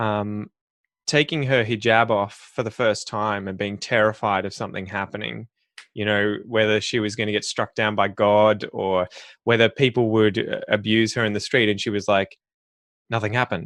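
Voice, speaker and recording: A man with an Australian accent, fairly low pitch, flat monotone delivery and moderate pace, over a quiet background. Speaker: podcast host teaching English. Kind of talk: interview podcast.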